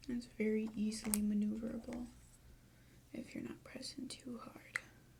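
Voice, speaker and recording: This soft-spoken voice moves at a moderate pace. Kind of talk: ASMR makeup tutorial.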